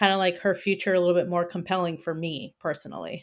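A woman talks in an unremarkable speaking voice, fairly low in pitch, with fairly even intonation. The recording is very clean, with a silent background. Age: 30s. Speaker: collectibles YouTuber and podcaster. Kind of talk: casual chat.

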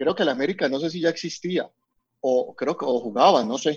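A man speaks in an unremarkable speaking voice. His pitch is fairly high and shows ordinary variation. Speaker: communications program director. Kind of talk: casual chat.

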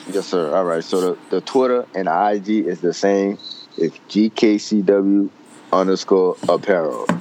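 Against noticeable background noise, a man with a fairly low pitch speaks at a fairly slow pace with fairly even intonation. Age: 20s. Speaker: college student and clothing brand owner. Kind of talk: casual chat.

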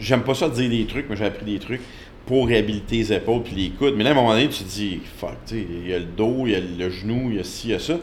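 Using a plain, everyday voice, a man talks at a fairly quick pace with a fairly low pitch and ordinary pitch variation. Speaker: strength coach. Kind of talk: interview.

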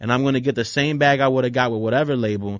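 Ordinary pitch variation and a fairly quick pace in an ordinary speaking voice. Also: man. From Philadelphia, moved around a lot as a child. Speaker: musician. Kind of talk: casual interview.

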